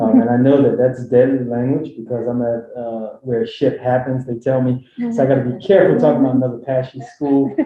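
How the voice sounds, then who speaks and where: This man has a Philadelphia accent, a medium pitch and a fairly quick pace. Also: fairly even intonation, hardly any pauses. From Philadelphia, US. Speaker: health equity director, panelist. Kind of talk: panel talk.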